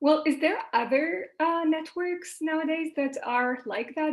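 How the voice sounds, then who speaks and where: A woman with a Quebec accent at a very slow pace, on a very clean recording with a silent background. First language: French. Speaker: panel moderator. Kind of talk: moderating panel Q&A. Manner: hesitant, many fillers.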